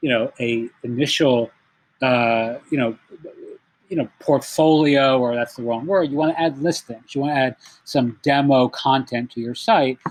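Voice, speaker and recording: Medium-pitched male voice at a moderate pace, in a dry, close sound with no echo. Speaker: marketing consultant. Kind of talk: tutorial. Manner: loud.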